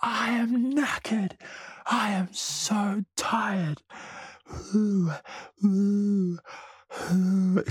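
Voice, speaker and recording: Someone does a put-on character voice at a very slow pace with a fairly high pitch. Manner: panting, complaining.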